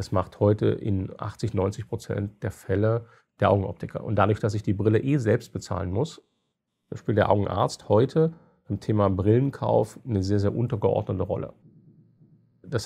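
With vocal fry and a dark, mellow tone, a man speaks at a moderate pace, fairly low in pitch, with ordinary pitch variation. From eastern Germany, Halle (Saale). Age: 40s. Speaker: company founder and CEO. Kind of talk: interview.

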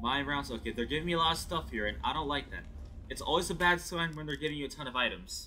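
Over faint music in the background, a man talks at a very fast pace. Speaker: gaming YouTuber. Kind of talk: let's play commentary. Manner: excitable, repeats words. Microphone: headset.

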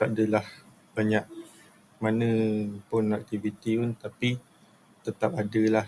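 The man talks fairly slowly, his intonation monotone and flat. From Batu Pahat, Johor, Malaysia. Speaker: student. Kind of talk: class presentation. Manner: halting, with fillers.

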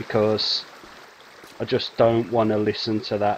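Light background noise sits under a man speaking at a fairly slow pace, the sound dry with no echo. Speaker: game streamer. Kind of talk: casual gameplay commentary. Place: home room. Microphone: headset.

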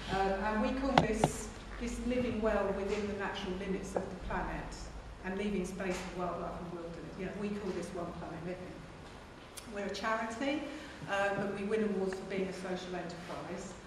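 A woman talks at a fairly quick pace with fairly even intonation. Strong room echo and noticeable background noise surround her. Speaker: conference presenter. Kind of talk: lecture. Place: hall. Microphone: camera far.

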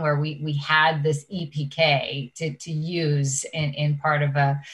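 A woman with a very deep, low pitch speaks at a very slow pace in a monotone, flat intonation. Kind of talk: interview answer. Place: home room. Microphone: webcam.

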